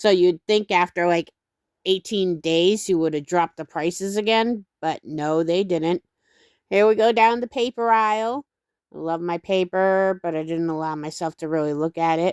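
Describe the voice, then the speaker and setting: With a normal speaking voice, a woman talks at a moderate pace and fairly low pitch, recorded very cleanly against a silent background with a dry, close sound and no echo. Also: ordinary pitch variation. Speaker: craft channel creator. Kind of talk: casual vlog voiceover narration. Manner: casual with fillers.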